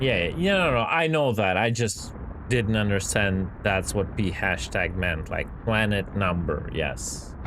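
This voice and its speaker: Over noticeable background noise and audible room echo, a man with a fairly low pitch speaks with lively intonation and very even loudness. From Ukraine, Kyiv. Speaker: video game streamer. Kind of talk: casual live-stream chat with viewers. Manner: casual, filler-heavy.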